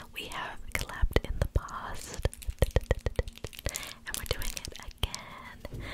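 Whispering and soft-spoken, a woman talks at a very slow pace. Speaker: ASMR creator. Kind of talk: soft ASMR whisper intro. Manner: soft close-mic ASMR whisper. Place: home room. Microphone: studio mic.

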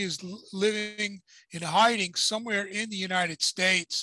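The man's voice is raised and projected, with a bright, sharp tone and fairly even intonation at a moderate pace. The sound is dry with no echo, over a quiet background. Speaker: boxing commentator co-host. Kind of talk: commentary. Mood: critical, indignant. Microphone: video call.

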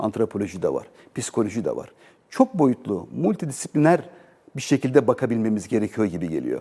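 Very fast, a man talks in a dark, mellow tone with vocal fry and very wide pitch swings. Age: 40s. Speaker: business association president, exporter. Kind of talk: TV interview.

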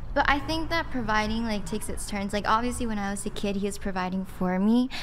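Light background noise sits behind a woman speaking at a medium pitch with ordinary pitch variation. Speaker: online content creator. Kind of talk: panel debate. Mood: reflective, personal. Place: studio. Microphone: studio mic.

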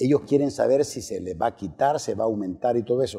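Against a quiet background, a dark, mellow voice carries lively intonation. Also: man. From El Salvador, eastern (La Unión, San Miguel); El Salvador. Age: 60s. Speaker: presidential candidate; interview guest, candidate. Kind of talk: political interview; interview answer. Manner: halting, many fillers and repetitions. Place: studio. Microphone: lapel.

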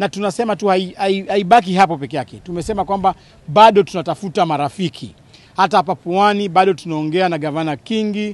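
A man speaks at a high pitch and a fairly quick pace with ordinary pitch variation, in a dry sound with no echo. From Kenya. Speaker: party official; politician. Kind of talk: press statement. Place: open country. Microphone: handheld.

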